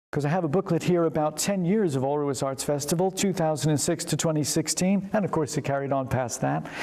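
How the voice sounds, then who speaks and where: Very fast delivery at a very even loudness, with ordinary pitch variation and hardly any pauses, over noticeable background noise. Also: man, fairly high pitch for a man. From United States. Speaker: vicar. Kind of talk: interview.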